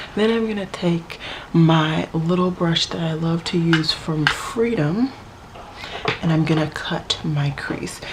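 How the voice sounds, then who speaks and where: Noticeable background noise sits behind a woman's voice. She speaks at a fairly low pitch with ordinary pitch variation. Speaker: beauty vlogger. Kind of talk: makeup tutorial talk to camera. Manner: dry, low-key.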